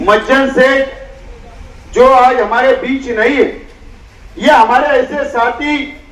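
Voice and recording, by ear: A man speaks slowly at an extremely high pitch, his tone fairly bright. His intonation stays fairly even, and room echo is audible.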